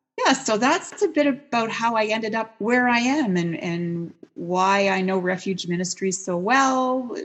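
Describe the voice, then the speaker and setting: A woman's fairly high voice with a Canadian accent, fairly slow yet with hardly any pauses, lively in intonation, over noticeable background noise. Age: 60s. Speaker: prison chaplaincy worker. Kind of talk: interview.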